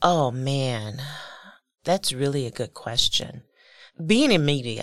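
The speech comes very slowly with lively intonation, captured in a very clean recording over a silent background. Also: woman, very deep, low pitch for a woman. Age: 60s. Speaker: community engagement professional. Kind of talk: interview. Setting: studio.

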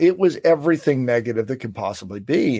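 A plain, everyday voice from a man, fairly high in pitch, with lively intonation and a moderate pace on a very clean recording against a silent background. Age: 50s. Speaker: speaking coach, former financial planner. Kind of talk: interview.

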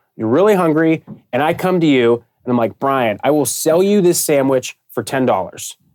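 An unremarkable speaking voice with an American accent, a moderate pace, lively intonation and a dry, close sound with no echo. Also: man, fairly high pitch for a man. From Pittsburgh, US. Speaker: sports partnership sales director. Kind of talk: interview.

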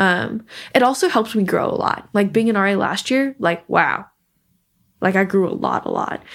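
This woman has a plain, everyday voice with an American accent, medium pitch and ordinary pitch variation. She talks at a moderate pace on a very clean recording with a silent background. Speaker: recent college graduate, software engineer. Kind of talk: interview, personal conversation.

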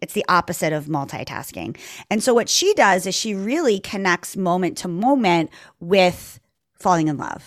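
A woman speaks with a plain, everyday voice at a medium pitch and a moderate pace, her intonation lively. The sound is dry and close with no echo, on a very clean recording with a silent background. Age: 40s. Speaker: yoga and meditation teacher. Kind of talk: casual chat.

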